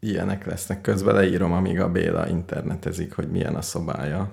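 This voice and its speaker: Noticeable background noise sits behind the speech. A man talks at a moderate pace in a very deep, low pitch. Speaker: radio show co-host. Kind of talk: casual chat.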